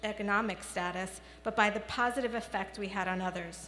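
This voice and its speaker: The speaker goes at a moderate pace. It is a plain, everyday voice. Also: woman. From New York City (the Bronx). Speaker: children's media researcher. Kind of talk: commencement speech.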